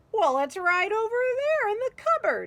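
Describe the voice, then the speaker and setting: A put-on character voice, squeaky and extremely high-pitched, with very wide pitch swings at a moderate pace. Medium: read story. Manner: boastful, storytelling.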